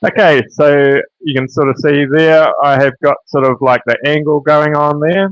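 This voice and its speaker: A man in a New Zealand accent speaks at a moderate pace and a fairly high pitch with hardly any pauses, in a dry, close sound with no echo. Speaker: woodcarver. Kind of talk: live tutorial. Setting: livestream.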